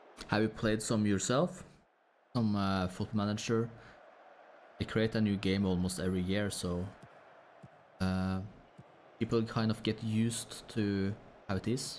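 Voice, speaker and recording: A man with a Norwegian accent speaks at a fairly low pitch and a fairly slow pace. His intonation is fairly even, with long, frequent pauses. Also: very even loudness. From Norway. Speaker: gaming streamer. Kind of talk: casual live-stream chat. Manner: low energy, relaxed.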